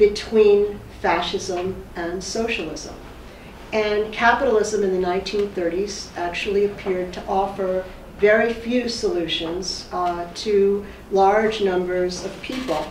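Audible room echo and light background noise surround a woman's medium-pitched voice. She talks at a fairly slow pace with fairly even intonation. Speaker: professor. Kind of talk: lecture. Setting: lecture hall with audience. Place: meeting room. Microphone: camera far.

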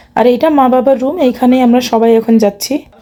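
High-pitched female speech over noticeable background noise. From India, rural West Bengal. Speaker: vlogger. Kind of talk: travel vlog narration.

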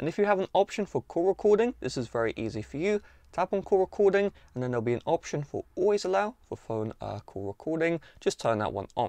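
A man talks at a fairly quick pace with very wide pitch swings. The sound is dry with no echo, and the background is quiet. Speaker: tech tutorial host. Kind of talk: tutorial. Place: home room.

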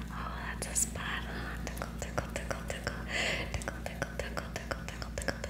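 Loud background noise fills the clip as a woman whispers. She is soft-spoken and keeps a moderate pace. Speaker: ASMR creator. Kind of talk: ASMR tickling role play. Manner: whispered, soft; playful, teasing. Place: home room.

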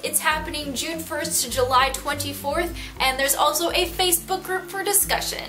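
A woman's high-pitched voice with an American accent, ordinary pitch variation and a moderate pace, clear music playing in the background. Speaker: book vlogger. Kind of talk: casual talk to camera. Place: home room. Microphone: camera far.

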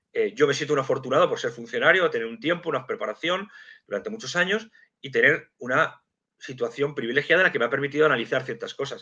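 A man talking at a very fast pace over a quiet background. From Madrid, Spain; Spain. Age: 50s. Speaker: geopolitics and intelligence analyst, civil servant; guest. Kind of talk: live stream interview. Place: home room. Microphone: video call.

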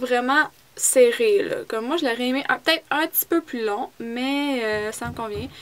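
A woman with a Quebec accent speaks in a high pitch with ordinary pitch variation over light background noise. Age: 20s. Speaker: beauty vlogger. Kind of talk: product review vlog. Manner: casual, hesitant. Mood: chatty, a bit upset about loss. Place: home room. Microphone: phone near.

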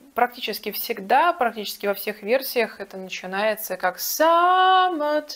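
At a fairly slow pace, a woman with a fairly high pitch speaks with very wide pitch swings. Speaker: vocal teacher. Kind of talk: tutorial. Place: home room. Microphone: lapel.

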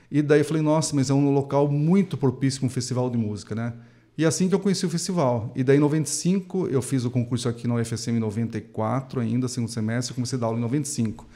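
Ordinary pitch variation marks this man's dark, mellow tone as he speaks at a fairly quick pace. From interior of São Paulo state, Brazil. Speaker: clarinet professor and music festival coordinator; clarinet professor. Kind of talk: interview. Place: studio. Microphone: studio mic.

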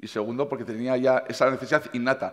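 Against a quiet background, a man is speaking. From Navarre, Spain. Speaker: chef. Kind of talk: conference talk. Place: stage. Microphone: headset.

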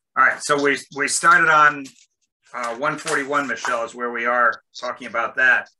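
A man's bright, sharp tone against a quiet background. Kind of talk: meeting discussion. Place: home room. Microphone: video call.

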